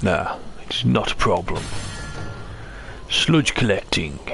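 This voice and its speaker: Clear background noise sits behind a man using a put-on character voice. He speaks at a fairly slow pace. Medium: game stream. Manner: theatrical, lots of "Ah".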